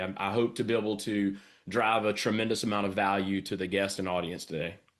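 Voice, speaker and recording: A man with a Southern US accent at a fairly low pitch and a very fast pace, against a quiet background. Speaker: business coach. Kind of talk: sales training presentation. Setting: home studio, online livestream. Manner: energetic.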